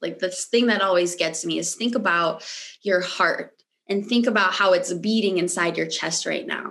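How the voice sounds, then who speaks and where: A woman with a General American accent speaks at a medium pitch with ordinary pitch variation. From US, Michigan. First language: Romanian. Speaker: mindset coach. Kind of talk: interview conversation.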